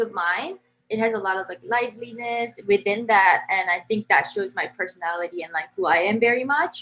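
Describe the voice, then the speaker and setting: A woman speaks with a Korean accent. Her tone is bright and sharp, her pitch fairly high. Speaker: composer. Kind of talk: interview. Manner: casual, many fillers (um, like).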